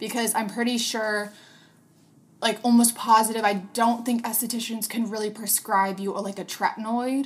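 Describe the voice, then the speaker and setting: A woman with an American accent, fairly high-pitched and somewhat breathy, at a fairly quick pace with fairly even intonation. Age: 20s. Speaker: podcast host and business owner. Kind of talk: casual solo podcast monologue. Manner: filler-heavy, chatty.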